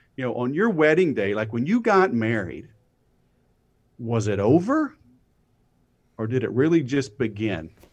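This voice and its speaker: A man at medium pitch swings very widely in pitch and leaves long, frequent pauses. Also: moderate pace. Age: 40s. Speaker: sales expert. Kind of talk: casual chat.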